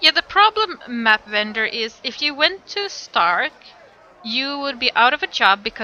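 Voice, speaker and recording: A woman with a non-native accent speaks at a fairly slow pace in a high, bright, sharp voice, raised and projected, with very wide pitch swings. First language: not English. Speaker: streamer. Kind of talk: live stream chat.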